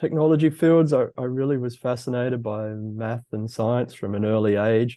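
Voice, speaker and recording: At a moderate pace, a man speaks with an Australian accent and ordinary pitch variation. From Australia, Brisbane, Queensland. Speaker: fusion physicist, executive. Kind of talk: interview.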